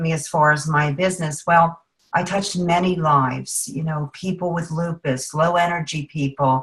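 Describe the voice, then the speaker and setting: Speaking at a moderate pace with hardly any pauses, a woman's fairly low voice sounds somewhat breathy. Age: 50s. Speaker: juice supplement distributor, former teacher. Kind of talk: testimony. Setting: video call.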